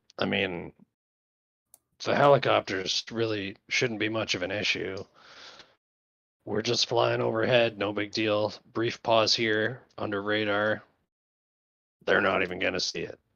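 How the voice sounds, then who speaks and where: Raspy and put on as a character voice, the speaker keeps a moderate pace and fairly even intonation, with long, frequent pauses. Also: man, fairly low pitch for a man. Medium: actual play. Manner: gruff, blunt.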